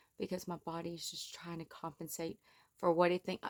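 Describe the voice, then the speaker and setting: This is a woman's voice. It sounds dry and close-up, without any echo. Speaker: vlogger. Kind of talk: casual monologue vlog. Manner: naturally loud.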